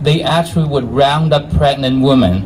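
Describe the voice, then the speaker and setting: Here a man speaks with a Chinese accent. Noticeable background noise can be heard. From China. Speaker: physician and activist. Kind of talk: rally speech. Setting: outdoor rally with crowd. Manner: halting.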